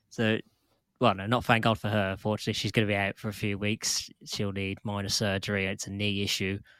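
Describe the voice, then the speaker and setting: A man talks fairly quickly in a flat monotone. The recording is very clean with a silent background and a dry, close sound with no echo. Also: fairly low pitch for a man. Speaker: women's football podcast co-host. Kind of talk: casual chat.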